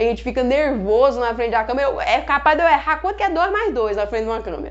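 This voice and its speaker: The speaker races along at a very fast pace with very wide pitch swings. Noticeable background noise sits behind the voice. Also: woman, high pitch for a woman. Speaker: chemistry teacher. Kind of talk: live online lesson. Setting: Instagram live stream.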